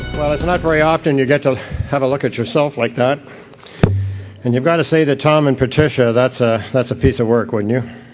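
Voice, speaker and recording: Music in the background behind a man at a medium pitch, fairly even intonation, a fairly quick pace and very even loudness. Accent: Canadian. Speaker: company president. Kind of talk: award acceptance speech. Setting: stage with audience.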